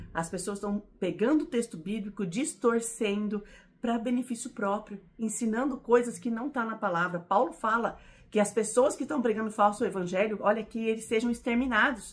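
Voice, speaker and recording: Her fairly high, somewhat breathy voice carries an animated tone, and this woman's pitch varies in an ordinary way. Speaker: Bible teacher. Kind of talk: Bible teaching. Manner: fast.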